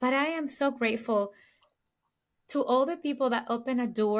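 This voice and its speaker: A woman speaks at a moderate pace with a Puerto Rican accent. The recording is very clean, with a silent background. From Puerto Rico. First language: Spanish. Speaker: luxury real estate sales agent. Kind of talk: podcast interview.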